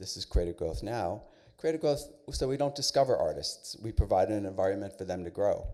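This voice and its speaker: A man with an American accent talks at a fairly quick pace. The recording is very clean, with a silent background. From New York City. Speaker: arts center director, panelist. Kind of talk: panel presentation. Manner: fast.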